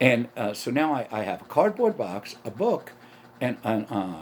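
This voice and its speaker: In a New York accent, a man speaks with very wide pitch swings. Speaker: comedian and podcaster. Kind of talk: solo podcast monologue. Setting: home setup with camera. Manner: animated, stream of consciousness.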